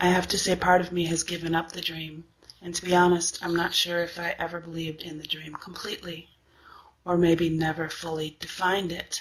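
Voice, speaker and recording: The woman's voice sits at a fairly low pitch. She speaks at a fairly quick pace with monotone, flat intonation. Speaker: singer. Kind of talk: personal testimony.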